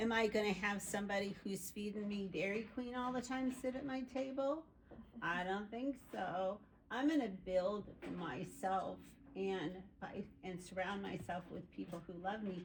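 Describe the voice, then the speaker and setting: A somewhat breathy woman speaks at a fairly slow pace and medium pitch, with ordinary pitch variation. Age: 60s. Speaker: group participant. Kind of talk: casual chat.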